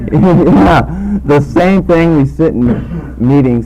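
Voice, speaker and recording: A man is speaking while noticeable background noise carries on. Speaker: speaker at recovery meeting. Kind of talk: testimony.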